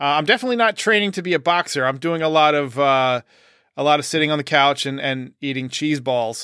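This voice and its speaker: Speaking at a very fast pace, a man with a fairly high pitch and a bright, sharp tone uses ordinary pitch variation on a very clean recording with a silent background. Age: 40s. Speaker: sports podcast host. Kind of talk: casual chat.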